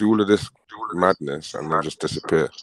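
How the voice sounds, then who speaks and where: A very deep, low male voice with a British accent at a fairly quick pace. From Britain. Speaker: caller on livestream panel. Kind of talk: casual chat.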